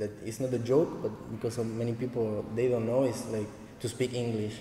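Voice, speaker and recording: Speaking with a Spanish accent, a man talks at a fairly quick pace in a medium pitch, his intonation monotone and flat, with audible room echo around him. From Argentina, Santa Fe. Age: 20s. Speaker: dancehall dancer and teacher. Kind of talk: casual interview. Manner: halting, limited English.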